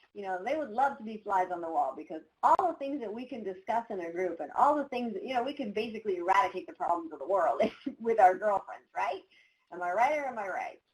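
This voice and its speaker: A woman's medium-pitched voice, animated in tone with lively intonation. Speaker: professional coach. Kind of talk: webinar presentation.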